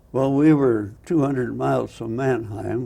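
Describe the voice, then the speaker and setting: A man's medium-pitched voice in a dark, mellow tone with ordinary pitch variation. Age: 80s+. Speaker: photographer and war veteran. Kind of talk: interview answer.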